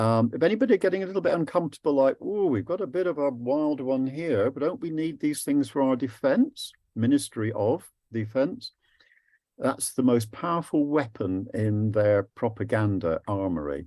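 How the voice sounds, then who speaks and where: In an English accent, a man speaks at a moderate pace with a medium pitch and a dark, mellow tone, his pitch swinging very widely. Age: 70s. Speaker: anti-war activist and physicist giving a talk. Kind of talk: presentation to a group. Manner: lively.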